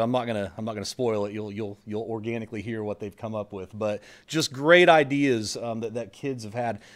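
A man is speaking. The background is quiet. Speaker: school administrator hosting event. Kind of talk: welcome speech. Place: hall. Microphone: podium.

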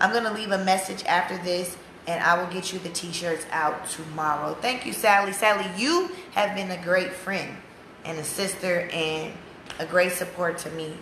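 Over light background noise and audible room echo, a woman with an American accent speaks at a moderate pace with fairly even intonation. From USA. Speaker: activist's wife selling campaign t-shirts. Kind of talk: casual live stream. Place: home room. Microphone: phone near.

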